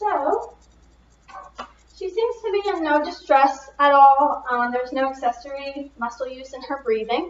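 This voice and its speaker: Against noticeable background noise, a woman speaks in a high voice with very wide pitch swings. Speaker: nursing student. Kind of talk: clinical skills demonstration, head-to-toe assessment.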